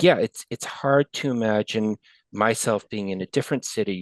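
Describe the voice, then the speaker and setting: A man with an American accent has an unremarkable speaking voice, fairly low in pitch with ordinary pitch variation, speaking at a moderate pace in a dry, close sound with no echo against a quiet background. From New York, Westchester County. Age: 60s. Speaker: retiring big data professional. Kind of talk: interview podcast chat.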